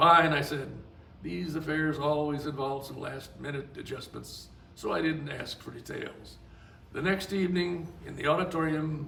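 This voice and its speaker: Against noticeable background noise and audible room echo, a man with an American accent speaks at a moderate pace with a fairly high pitch and monotone, flat intonation. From US South. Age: 80s+. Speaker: author. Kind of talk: reading aloud.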